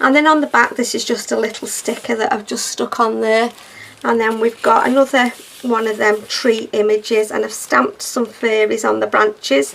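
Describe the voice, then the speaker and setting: A moderate pace with noticeable background noise. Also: woman. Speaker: crafter, junk journal maker. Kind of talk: craft tutorial walkthrough. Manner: casual, chatty.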